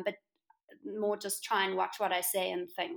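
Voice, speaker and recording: A woman with a South African accent has a bright, sharp tone in a very clean recording with a silent background. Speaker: interior designer, entrepreneur. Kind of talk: interview.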